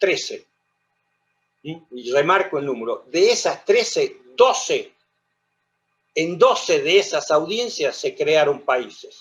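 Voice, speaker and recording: The man speaks at a very slow pace. Long, frequent pauses break up his speech. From Argentina, La Rioja. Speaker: lawyer and lecturer on history. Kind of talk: lecture.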